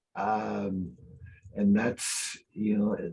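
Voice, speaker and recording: A man talks with lively intonation, his voice somewhat breathy. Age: 60s. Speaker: real estate team leader. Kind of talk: webinar panel discussion.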